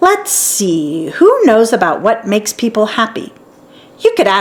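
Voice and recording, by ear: A natural voice, reading aloud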